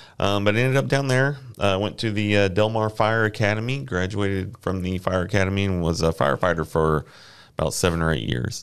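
Against a quiet background, a man talks at a fairly quick pace. His voice is fairly low, with lively intonation. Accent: Texan. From Houston area, Texas (Friendswood). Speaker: safety manager, former firefighter. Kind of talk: casual interview.

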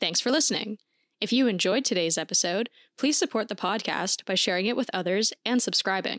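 A woman in a normal speaking voice, medium pitch with ordinary variation, fairly quick pace, very clean recording with a silent background, dry, close and echo-free. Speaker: podcast co-host. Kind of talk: ghost story telling, dramatic narration of a spectral encounter.

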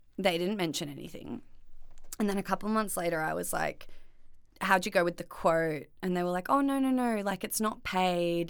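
In an Australian accent, a woman speaks at medium pitch and moderate pace with ordinary pitch variation on a very clean recording with a silent background. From Australia, Byron Bay / Northern Rivers NSW. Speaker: florist and small business owner. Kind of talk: casual chat.

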